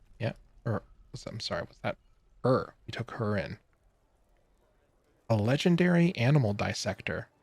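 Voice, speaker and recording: In a dry, close recording with no echo, a man speaks at moderate pace and medium pitch, somewhat breathy, with very wide pitch swings, big swings in loudness, and long, frequent pauses. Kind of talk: casual gameplay commentary.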